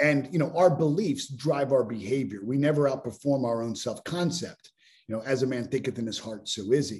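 A man with an American accent, somewhat breathy, at a fairly quick pace with ordinary pitch variation. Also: medium pitch for a man. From Pittsburgh, US. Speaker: business mentor and speaker. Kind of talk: casual interview.

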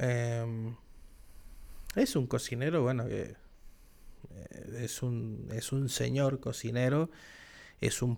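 In a very clean recording with a silent background, this man talks at a very slow pace. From Argentina. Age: 30s. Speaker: podcast host. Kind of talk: solo monologue podcast. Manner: animated.

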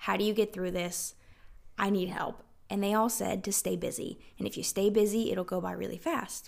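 The recording is very clean, and the background is silent. A woman talks in a Southern US accent. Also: moderate pace. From South Carolina. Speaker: podcast host and capsule wardrobe expert. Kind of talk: interview.

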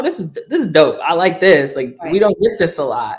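Music plays behind a man with a New Orleans accent who speaks at a moderate pace with lively intonation. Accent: New Orleans Southern US. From US South, New Orleans. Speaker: activist. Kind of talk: interview.

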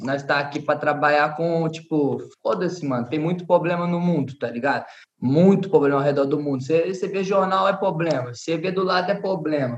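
An ordinary speaking voice from a man, fairly high-pitched and fairly quick, with hardly any pauses. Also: ordinary pitch variation. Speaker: trap artist. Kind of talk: casual chat.

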